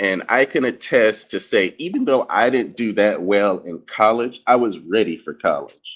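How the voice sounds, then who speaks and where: With a normal speaking voice, a man talks at a medium pitch and a moderate pace, with ordinary pitch variation and hardly any pauses. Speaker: discussion panelist. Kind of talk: casual discussion.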